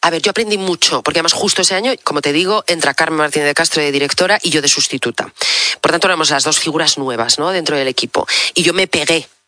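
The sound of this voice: A woman talks fast in a bright, sharp tone.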